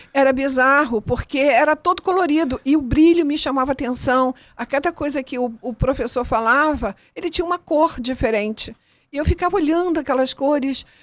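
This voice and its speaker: A woman speaks at a moderate pace in a high voice with ordinary pitch variation, the sound dry and close with no echo. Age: 60s. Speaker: interviewee sharing life story, chromotherapy practitioner. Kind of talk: interview testimony.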